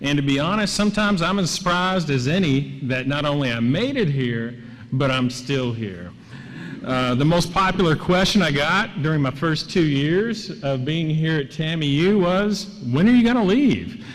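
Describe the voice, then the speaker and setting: Noticeable background noise and audible room echo surround a man with an American accent. He speaks at a moderate pace in a fairly high pitch with lively intonation. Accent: Southern US accent (joked as Laredo). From Kentucky and Tennessee. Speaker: professor. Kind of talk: award acceptance speech. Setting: stage with audience.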